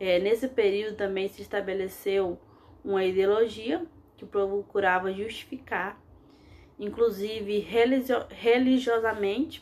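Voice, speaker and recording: A woman speaks at a fairly slow pace in an ordinary speaking voice. Her pitch is fairly high, with ordinary variation. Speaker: history teacher. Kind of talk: lecture. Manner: frequent fillers and self-corrections.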